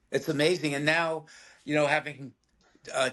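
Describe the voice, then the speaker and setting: A man with a New York accent and a fairly high pitch. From New York City (Bronx). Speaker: film actor. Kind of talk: casual interview.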